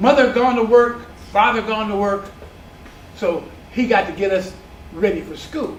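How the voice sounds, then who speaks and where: In an American accent, a high-pitched man speaks at a moderate pace with ordinary pitch variation, big swings in loudness, and long, frequent pauses, amid audible room echo and noticeable background noise. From San Diego, California. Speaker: community elder recounting neighborhood history. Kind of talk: oral history interview. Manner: halting.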